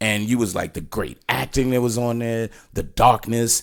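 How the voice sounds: On a very clean recording with a silent background, a man speaks at a moderate pace with medium pitch, ordinary pitch variation and vocal fry.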